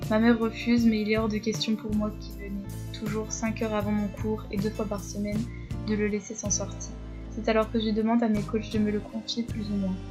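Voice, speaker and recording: With music in the background and audible room echo, a woman speaks at a fairly quick pace. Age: 20s. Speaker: horse rider and vlogger. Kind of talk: scripted narration.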